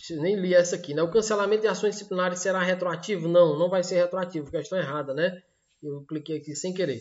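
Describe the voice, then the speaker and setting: Here a man talks at a very fast pace. His voice sits high in pitch. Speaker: law course teacher. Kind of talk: online lecture. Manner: animated.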